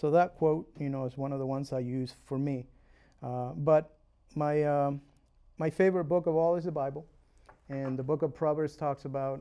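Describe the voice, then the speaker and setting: Against a quiet background, a man with a Uruguayan accent speaks in a dark, mellow tone. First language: Spanish. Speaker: realtor and home inspector. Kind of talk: interview. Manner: hesitant, many fillers.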